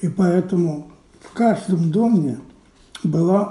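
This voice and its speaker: A high-pitched man's voice with ordinary pitch variation and audible room echo. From Belarus, Minsk. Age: 80s+. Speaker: Holocaust survivor. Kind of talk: testimony.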